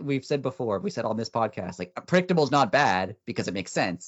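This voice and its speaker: A man rushes along at a very fast pace with a fairly high pitch, very wide pitch swings and vocal fry. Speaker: wrestling podcast host. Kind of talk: casual chat. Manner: loud.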